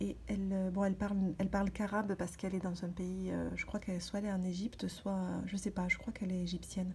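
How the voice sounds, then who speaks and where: A woman speaks softly in a dark, mellow, somewhat breathy tone. Her delivery is monotone and flat. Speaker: vlogger. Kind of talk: casual vlog talk. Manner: halting, many hesitations; soft-spoken.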